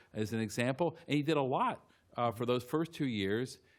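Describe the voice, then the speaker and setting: On a very clean recording with a silent background, a man with an American accent talks at a moderate pace in a medium pitch with ordinary pitch variation. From US Midwest, central Illinois. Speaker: law professor. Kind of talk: panel discussion. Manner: halting, many false starts.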